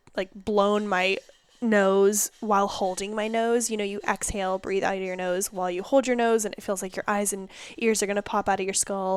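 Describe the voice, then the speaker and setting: A woman talks loudly at a medium pitch. Her intonation stays fairly even. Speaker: podcast host. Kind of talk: casual chat.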